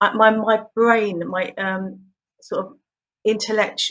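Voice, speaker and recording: Fairly slow, fairly even speech from a woman with a British accent. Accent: close to BBC English. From southern England, just south of London. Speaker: pronunciation coach for singers. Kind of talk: interview.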